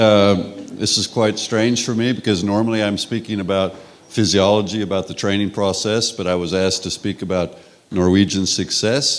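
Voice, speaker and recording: Fairly even intonation from a man, fairly low-pitched, at a moderate tempo. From Texas. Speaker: sports scientist. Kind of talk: conference talk.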